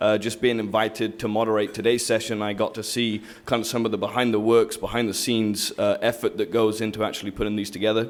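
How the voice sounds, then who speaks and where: A man speaks at a very fast pace with hardly any pauses. His intonation is monotone and flat. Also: medium pitch for a man. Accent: English. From southern England. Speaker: commercial lender and panel moderator. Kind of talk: event introduction and panel moderation. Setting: stage with audience.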